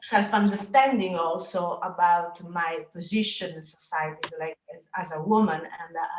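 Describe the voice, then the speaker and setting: Spoken at a moderate pace with hardly any pauses, this voice carries a Sicilian accent and big swings in loudness. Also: woman. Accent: Italian (Sicilian) accent in English. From Sicily, Italy. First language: Italian. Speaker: photographer, artist. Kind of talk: presentation. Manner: halting, many hesitations.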